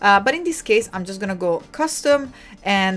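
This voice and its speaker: This woman has an Italian accent. Her tone is animated. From Italy. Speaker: livestream host, designer. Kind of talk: live tutorial. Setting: live stream.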